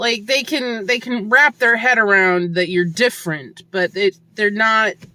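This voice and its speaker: Loud and bright with a sharp tone, a woman talks at a fairly slow pace with ordinary pitch variation. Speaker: hiker vlogger. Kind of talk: reflective vlog monologue.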